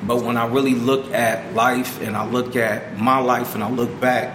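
Amid noticeable background noise and audible room echo, a man at a medium pitch speaks at a moderate pace with fairly even intonation. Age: 40s. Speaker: youth program staff member. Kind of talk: casual interview.

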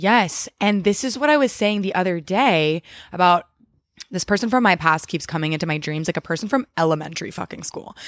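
A woman's unremarkable speaking voice at a medium pitch, fairly quick pace and lively intonation, on a very clean recording with a silent background. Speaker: guest, host's sister, former elementary educator. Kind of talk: casual chat. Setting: at parents' home on couch.

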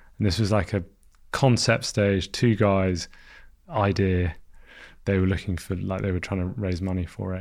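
Taking long, frequent pauses, a man with a London accent speaks at a moderate pace in a very deep, low pitch with fairly even intonation. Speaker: founder of an alcohol-free beer brand. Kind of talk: casual interview.

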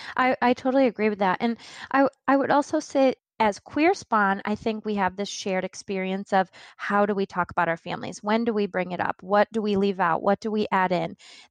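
A woman talks fairly quickly in a normal speaking voice at a medium pitch with ordinary pitch variation. The sound is dry and close, with no echo. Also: very clean recording, silent background. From Central New York. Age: 30s. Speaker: diversity consultant. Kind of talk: podcast interview.

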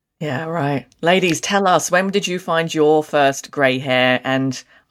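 A woman with an Australian accent speaks with a very deep, low pitch. Her pace is fairly slow. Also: very clean recording, silent background. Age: 30s. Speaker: podcast co-host. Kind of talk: casual chat.

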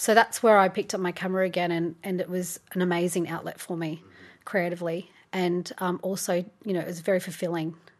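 A woman with an Australian accent, fairly low in pitch, at a fairly quick pace, flat and monotone, over a quiet background. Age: 30s. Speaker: photographer and yoga teacher. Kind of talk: casual interview.

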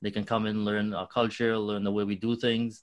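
A man with a Trinidadian accent, fairly low pitch and monotone, flat intonation, at a moderate pace against a quiet background. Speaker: nonprofit co-founder. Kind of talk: interview.

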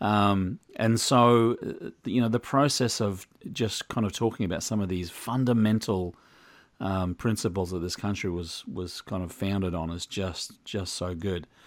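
His pitch sits fairly low. The man speaks in an Australian accent. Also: ordinary pitch variation, moderate pace, very clean recording, silent background. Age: 50s. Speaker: podcast host, former ice cream shop owner. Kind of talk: interview.

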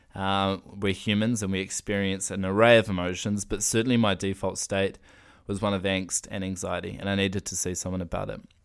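Over a very clean recording with a silent background, a man with a New Zealand accent talks at a fairly quick pace, fairly low in pitch and monotone, flat in intonation. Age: 20s. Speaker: podcaster. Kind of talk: personal monologue.

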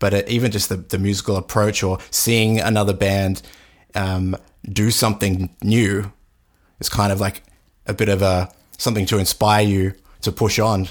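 Speaking in an Australian accent, a man has a fairly low pitch and a moderate pace. His intonation stays monotone and flat, his loudness very even, with long, frequent pauses. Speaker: podcast host. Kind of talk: casual interview. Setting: video call.

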